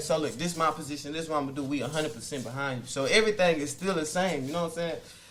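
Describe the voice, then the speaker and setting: A man with a fairly high pitch is heard with noticeable background noise and audible room echo. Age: 20s. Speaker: rapper. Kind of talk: casual interview.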